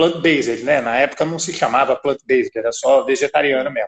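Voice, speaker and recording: In a São Paulo accent, a man speaks fairly quickly with lively intonation, the sound dry and close with no echo. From São Paulo, Brazil. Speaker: business owner. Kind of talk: interview.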